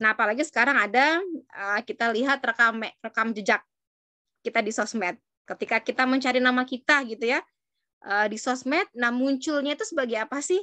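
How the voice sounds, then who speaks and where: Against a quiet background, a woman with a high pitch and a bright, sharp tone speaks at a fairly quick pace with ordinary pitch variation. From Banyuwangi, East Java, Indonesia; East Java, Indonesia. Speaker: university lecturer. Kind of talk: lecture. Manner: casual. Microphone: video call.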